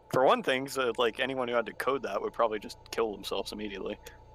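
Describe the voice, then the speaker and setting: The speaker is a man with an American accent. Background noise is clearly audible throughout. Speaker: gaming streamer. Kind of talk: casual chat.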